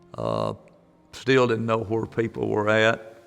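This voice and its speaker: A man's fairly low voice with an Alabama accent over music in the background. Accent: Southern US (Alabama). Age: 70s. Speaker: tornado survivor. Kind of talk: testimony. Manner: halting.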